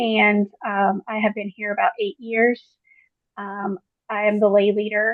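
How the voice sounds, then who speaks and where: A woman with an American accent talks in a normal speaking voice. Her pitch is fairly high and her pace moderate. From Queens, New York. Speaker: church lay leader. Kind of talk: group video call sharing.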